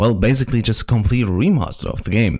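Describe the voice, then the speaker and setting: This is a man with a German accent. The recording is very clean, with a silent background. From Germany. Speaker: gaming youtuber. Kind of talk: video commentary. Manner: halting.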